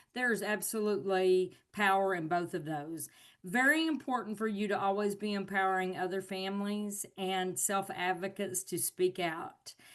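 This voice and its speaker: Over a quiet background, a woman with a Southern US accent talks at a moderate pace and medium pitch with ordinary pitch variation. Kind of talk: webinar presentation.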